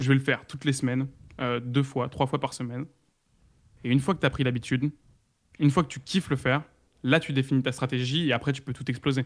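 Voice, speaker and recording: On a very clean recording with a silent background, the speech moves at a very fast pace in a monotone, flat intonation. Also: man. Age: 20s. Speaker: content creator and ghostwriter. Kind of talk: interview.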